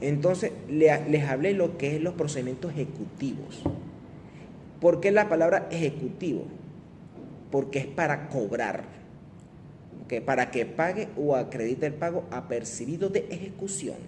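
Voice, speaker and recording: Audible room echo surrounds a man with a fairly high pitch and ordinary pitch variation. He speaks at a fairly slow pace with long, frequent pauses. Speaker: law lecturer. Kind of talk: lecture.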